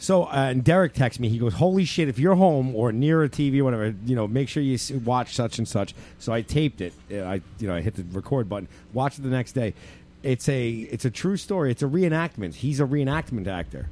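A man with an American accent speaks in a normal speaking voice at medium pitch. His pace is fairly quick and his intonation lively. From New York. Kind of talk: casual chat.

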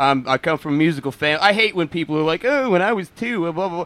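With a New York accent, the speaker talks at a very fast pace. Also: man. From Queens, New York. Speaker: metal guitarist. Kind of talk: casual chat.

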